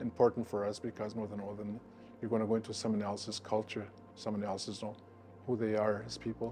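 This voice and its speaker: A man's fairly low, monotone voice with flat intonation at a fairly quick pace, with music in the background. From Manitoba, Canada (First Nation community). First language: Anishinaabe (Ojibwe). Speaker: First Nations elder. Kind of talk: storytelling talk. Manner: halting, many fillers.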